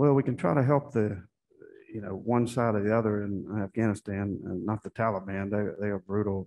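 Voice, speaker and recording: With fairly even intonation, a man talks at a fairly quick pace. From US South (Florida and southern Virginia); US South. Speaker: Senate candidate, army veteran; candidate. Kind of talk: candidate forum answers. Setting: stage with audience. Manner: halting. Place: hall. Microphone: podium.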